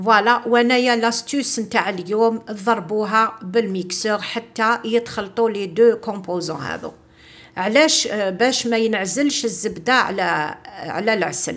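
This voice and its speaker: A woman with an Algerian accent, fairly high-pitched, at a fairly slow pace with hardly any pauses and ordinary pitch variation. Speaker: cooking video host. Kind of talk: cooking tutorial. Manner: casual, mixing French. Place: kitchen. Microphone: phone near.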